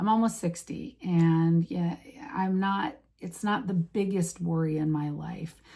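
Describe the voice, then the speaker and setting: The recording is very clean, with a silent background. A woman speaks with a fairly low pitch, a dark, mellow tone and ordinary pitch variation. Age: 50s. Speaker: vlogger. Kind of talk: casual vlog talk. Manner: halting.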